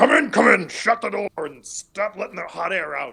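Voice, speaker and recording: A gruff, put-on character voice at a moderate pace. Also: man, high pitch for a man. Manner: impatient, curt.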